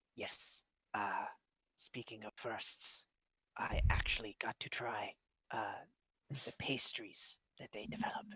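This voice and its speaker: A man whispering in a put-on character voice at a fairly slow pace, with long, frequent pauses and a dry, close sound with no echo. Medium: actual play. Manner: formal, earnest.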